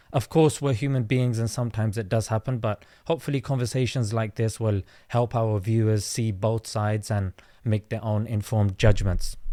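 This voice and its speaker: The voice has a London accent and a dark, mellow tone. Its intonation stays fairly even. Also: man, medium pitch for a man, fairly quick pace. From South London. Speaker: content creator and comedian. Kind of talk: debate. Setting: online audio space.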